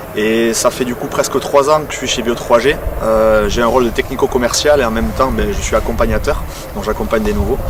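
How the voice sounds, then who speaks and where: Against noticeable background noise and audible room echo, a man speaks at a fairly quick pace. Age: 20s. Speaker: agricultural sales technician. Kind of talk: workplace testimony interview. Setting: on a client's farm.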